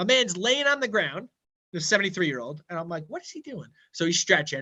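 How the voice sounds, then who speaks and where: A man projects a raised voice with a bright, sharp, animated tone. His pitch swings very widely. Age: 30s. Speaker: financial advisor. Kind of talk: casual chat.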